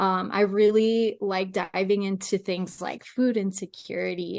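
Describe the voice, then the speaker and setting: The woman's voice sits at a medium pitch. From Mexico, moved to the US as a child. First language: Spanish. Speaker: sports dietitian and podcast co-host. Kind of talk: casual chat.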